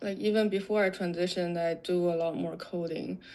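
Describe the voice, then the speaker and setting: A woman speaks in a dark, mellow tone. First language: not English. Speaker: software developer. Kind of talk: interview. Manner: halting, many fillers.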